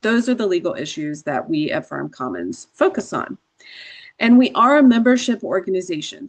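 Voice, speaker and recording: A woman with an American accent at a fairly quick pace, against a quiet background. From Georgia, US South. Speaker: attorney. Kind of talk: workshop presentation.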